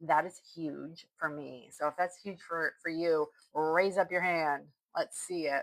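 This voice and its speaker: The speaker's tone is animated, though the pace stays fairly slow. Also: woman, fairly low pitch for a woman. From northern Vermont, US. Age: 50s. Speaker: online business coach. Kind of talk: live stream sales pitch. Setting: live stream on social media.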